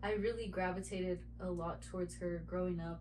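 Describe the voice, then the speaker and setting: A woman is talking. Room echo is audible. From Texas. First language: Spanish. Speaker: painter. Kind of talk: casual chat.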